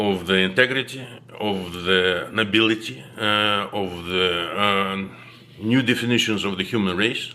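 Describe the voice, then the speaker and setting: A man at a fairly low pitch and fairly slow pace, ordinary pitch variation, with audible room echo. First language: not English. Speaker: video blogger. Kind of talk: monologue to camera. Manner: halting, many fillers.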